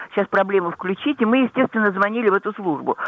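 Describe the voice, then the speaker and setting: Lively intonation from a woman, noticeable background noise behind her. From St. Petersburg, Russia. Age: 80s+. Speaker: pensioner caller. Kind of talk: call-in complaint.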